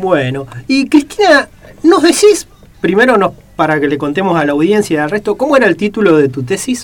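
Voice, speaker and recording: A man talks at a fairly quick pace with a high pitch and very wide pitch swings. Noticeable background noise sits behind him. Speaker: radio host. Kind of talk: radio interview.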